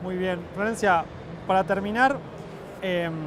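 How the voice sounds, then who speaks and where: Against noticeable background noise, a man with a high pitch speaks at a fairly slow pace with fairly even intonation. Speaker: interviewer, cultural program head. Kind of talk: interview. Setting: book fair stand.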